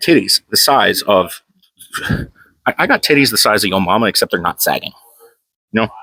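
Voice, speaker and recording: An animated tone at a very fast pace, dry and close with no echo. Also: man. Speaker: powerlifter vlogger. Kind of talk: casual gym vlog talk. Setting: gym.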